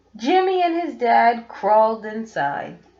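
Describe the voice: A woman speaks at a slow pace with a fairly high pitch, big pitch swings and a slightly mellow tone. Audible room echo surrounds her voice.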